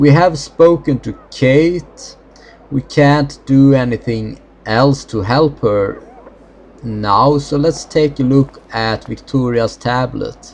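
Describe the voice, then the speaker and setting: A man with a Swedish accent speaks very slowly at a fairly high pitch with ordinary pitch variation. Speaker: gaming video creator. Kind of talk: let's play commentary. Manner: halting.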